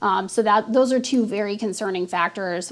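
Noticeable background noise surrounds the speaker. A woman talks at medium pitch and a fairly slow pace. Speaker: police detective. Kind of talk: recorded interview. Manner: hesitant, filler-laden, serious.

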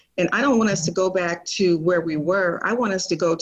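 A woman with an American accent speaks in a normal speaking voice, her pitch fairly low and its variation ordinary. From Portland, Oregon. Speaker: city council candidate. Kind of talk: interview. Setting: video call.

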